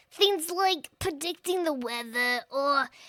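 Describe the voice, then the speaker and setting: A woman puts on a character voice, speaking at a fairly slow pace. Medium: audio drama. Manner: blunt, casual, sardonic.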